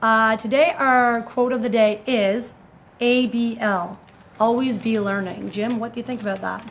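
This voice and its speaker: A woman with a normal speaking voice talks at a fairly high pitch with fairly even intonation. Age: 30s. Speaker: video show host. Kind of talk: casual chat.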